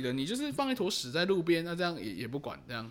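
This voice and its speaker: Mumbling at a very fast pace, a man's voice makes very wide pitch swings. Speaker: podcast co-host. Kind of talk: casual chat about referendums. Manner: casual, mumbled everyday speech.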